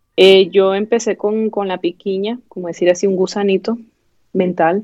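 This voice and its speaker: With an eastern Venezuelan accent, a woman speaks at a medium pitch in a monotone, flat intonation. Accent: eastern Venezuelan (El Tigre). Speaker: doctor. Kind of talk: interview.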